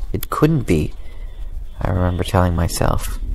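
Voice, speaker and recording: A man with an ordinary speaking voice, at a moderate pace with fairly even intonation. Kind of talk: horror story reading. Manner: calm, inviting.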